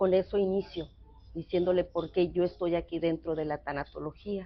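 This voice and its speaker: A woman's monotone, flat delivery at a fairly low pitch and a moderate pace. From northwest Mexico (San Luis Río Colorado, Sonora). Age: 60s. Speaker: thanatologist psychotherapist. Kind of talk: interview conversation. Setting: café. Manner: hesitant, many fillers.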